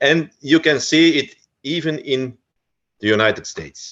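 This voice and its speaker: A man with a Flemish accent and lively intonation. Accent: Flemish Dutch accent in English. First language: Dutch. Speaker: researcher of folk customs. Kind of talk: lecture. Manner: halting, many fillers.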